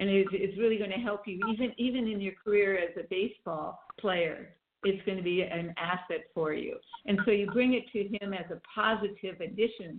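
A woman with a normal speaking voice talks at a moderate pace and medium pitch, her intonation fairly even. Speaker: energy coach. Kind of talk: interview conversation. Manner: warm, laughs often.

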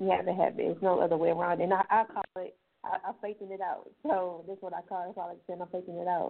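Her voice sits at a medium pitch and stays monotone and flat. The woman talks very fast, her loudness swinging widely. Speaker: author and brain injury survivor. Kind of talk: personal testimony. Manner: calm, unbothered.

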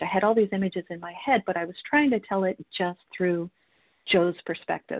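A woman speaks at a moderate pace with an unremarkable speaking voice. Her pitch sits in the medium range, with ordinary pitch variation. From Florida. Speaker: crime novelist, retired police captain. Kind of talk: casual interview. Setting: radio studio.

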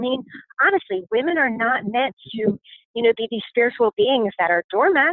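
A plain, everyday voice with lively intonation and a moderate pace. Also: woman. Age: 30s. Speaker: podcast host and life coach. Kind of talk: casual solo monologue. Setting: outdoors on a walk.

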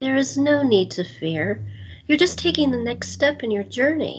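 A woman uses a put-on character voice, high-pitched with a husky, rough edge. She speaks at a moderate pace with lively intonation.

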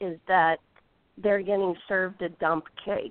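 A woman speaks with a Midwestern American accent. Her pitch is medium and her intonation fairly even. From US Midwest, Indiana. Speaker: golf instructor. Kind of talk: interview. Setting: phone call.

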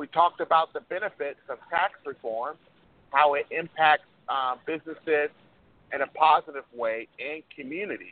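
At a moderate pace, a man with a fairly high pitch and an unremarkable speaking voice talks with big swings in loudness. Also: ordinary pitch variation. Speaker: preacher and political organizer. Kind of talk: radio interview. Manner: formal.

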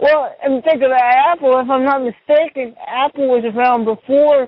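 This man speaks with an American accent at a moderate pace. His pitch is extremely high. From US Midwest, small-town Missouri. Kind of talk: casual chat.

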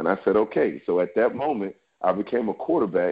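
This man has a medium-pitched voice. He speaks with an American accent. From New York City and Alexandria, Virginia. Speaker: former pro football player and trainer. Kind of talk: podcast interview.

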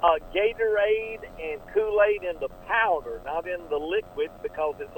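With noticeable background noise present, a man delivers his words at a moderate pace. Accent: American. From US South, Atlanta, Georgia. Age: 60s. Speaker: pastor and missionary pilot. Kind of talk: radio interview.

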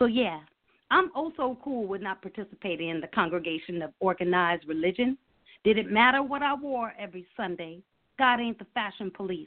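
A woman with an unremarkable speaking voice, medium-pitched, fairly quick, with lively intonation. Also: big swings in loudness. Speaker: poet and teacher. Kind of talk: casual chat and poetry reading. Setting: phone call.

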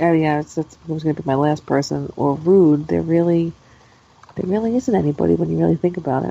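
A woman speaks at a very fast pace with a very deep, low pitch. Her tone is dark and mellow, with ordinary pitch variation. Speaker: wrestling podcast co-host. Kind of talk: casual chat.

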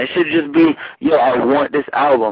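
A man with a New York accent, lively intonation and a moderate pace. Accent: New York Bronx. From New York, the Bronx. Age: young. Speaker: rapper. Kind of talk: casual interview.

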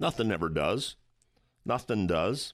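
A man with a plain, everyday voice talks at fairly low pitch and a fairly slow pace. The recording is very clean with a silent background. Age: 60s. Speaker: radio host and financial advisor. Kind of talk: talk radio monologue and interview.

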